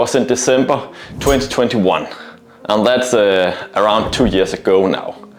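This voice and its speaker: With audible room echo and noticeable background noise, a man at medium pitch talks at a fairly slow pace with lively intonation. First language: not English. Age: 30s. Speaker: male stripper and fitness vlogger. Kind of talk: vlog monologue. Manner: hesitant with frequent fillers.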